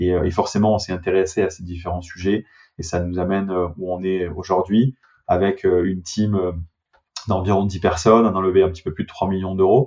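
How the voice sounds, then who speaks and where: Speaking at a moderate pace, a man with a very deep, low pitch keeps a monotone, flat intonation and leaves long, frequent pauses. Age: 30s. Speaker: startup CEO. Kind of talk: interview. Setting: remote call.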